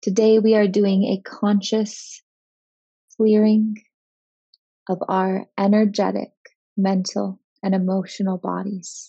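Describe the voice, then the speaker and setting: Very slowly and in a flat monotone, a woman speaks at medium pitch. Her somewhat breathy voice has a soothing, calm tone. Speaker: meditation guide. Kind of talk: guided meditation. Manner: slow, soothing, calm, gently paced; soft-spoken, hypnotic cadence with long pauses.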